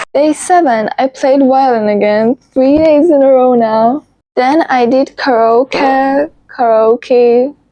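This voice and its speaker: The speaker, in a non-native accent, talks at a very slow pace with very even loudness. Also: woman, high pitch for a woman, ordinary pitch variation. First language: not English. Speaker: vlogger. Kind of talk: personal vlog narration.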